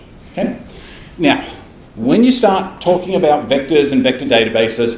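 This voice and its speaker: A man with an Australian accent and lively intonation, noticeable background noise and audible room echo. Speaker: tech company developer advocate presenting. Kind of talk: technical presentation. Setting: stage with live audience. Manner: fast, animated.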